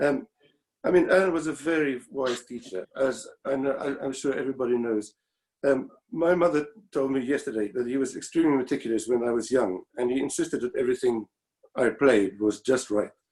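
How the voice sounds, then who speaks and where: With a South African accent, a man talks at a fairly quick pace and ordinary pitch variation. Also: medium pitch for a man. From South Africa (Pretoria). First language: Afrikaans. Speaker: former student, violinist. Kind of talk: memorial tribute. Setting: video call. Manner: halting.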